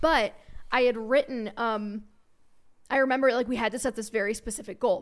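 In a very clean recording with a silent background, a woman with an American accent uses an ordinary speaking voice with fairly even intonation. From Cincinnati area (northern Kentucky suburb), US Midwest. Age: 20s. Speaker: personal finance podcaster and writer. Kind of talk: casual interview chat.

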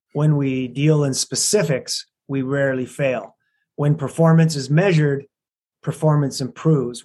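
With a Canadian accent and a plain, everyday voice, the speaker keeps a moderate pace and fairly even intonation. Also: man. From Alberta, Canada. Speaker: business consultant and coach. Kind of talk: interview.

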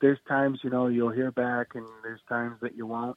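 This is a man speaking with an American accent. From US Midwest, Quad Cities. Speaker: stand-up comedian. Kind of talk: casual chat.

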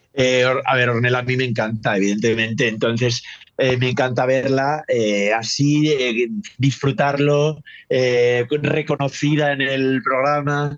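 This is an ordinary speaking voice, delivered at a fairly slow pace with fairly even intonation and very even loudness. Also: man, medium pitch for a man. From northern Spain. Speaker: drag commentator. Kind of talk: casual chat.

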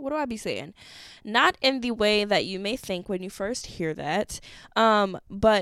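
An animated voice with an American accent comes through on a very clean recording with a silent background and a dry, close sound with no echo. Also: woman. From Wisconsin. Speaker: podcast host. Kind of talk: casual monologue.

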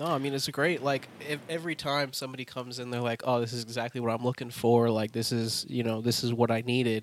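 A man talks at a very fast pace and medium pitch. There is noticeable background noise. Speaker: podcast co-host. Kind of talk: casual chat.

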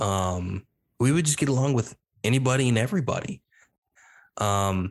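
A man with a plain, everyday voice speaks with an American accent at a moderate pace and ordinary pitch variation. The sound is dry and close, with no echo and a quiet background. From various US regions: East Coast, Midwest, Southwest. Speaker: podcast host, homeschool graduate. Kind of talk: casual interview chat.

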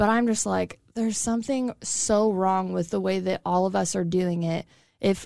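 At a fairly slow pace, a woman with an American accent talks at a medium pitch in a dark, mellow tone, recorded very cleanly over a silent background. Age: 30s. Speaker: podcast co-host. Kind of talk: casual chat. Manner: monotone.

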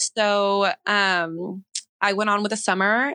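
A woman with an American accent speaks in a bright, sharp tone with fairly even intonation. The sound is dry and close, with no echo. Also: quiet background. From Northern California. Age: 20s. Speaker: softball player. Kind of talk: casual chat.

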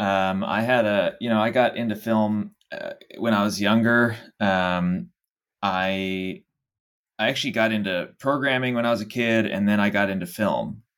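In a normal speaking voice, a man with an American accent talks at a fairly low pitch and a moderate pace. His intonation is fairly even. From Dallas, Texas. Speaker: startup founder. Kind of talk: interview.

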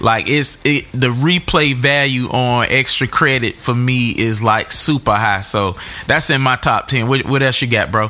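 This man has a medium-pitched voice with ordinary pitch variation and very even loudness. He talks at a fairly slow pace with hardly any pauses. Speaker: podcast host. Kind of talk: podcast hosting, casual chat. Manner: animated.

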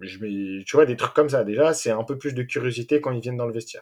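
A man speaks with ordinary pitch variation. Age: 20s. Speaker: youth football coach. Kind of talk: interview. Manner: hesitant.

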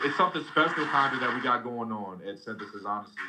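A man talks with fairly even intonation as noticeable noise sounds in the background. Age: 20s. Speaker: amateur MMA fighter. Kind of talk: interview. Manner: casual, filler-heavy.

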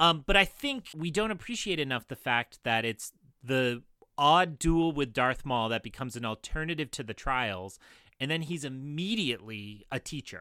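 A man's fairly high voice with a bright, sharp tone, lively intonation and a moderate pace, on a very clean recording with a silent background and a dry, close sound with no echo. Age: 30s. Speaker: podcast guest, fan commentator. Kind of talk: casual chat.

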